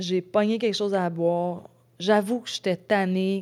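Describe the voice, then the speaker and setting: A woman speaks with a Quebec accent at a very slow pace. Her pitch is medium, with ordinary variation. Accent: Québécois French. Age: 40s. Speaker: ultra-trail runner. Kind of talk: casual interview chat. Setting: in-person studio.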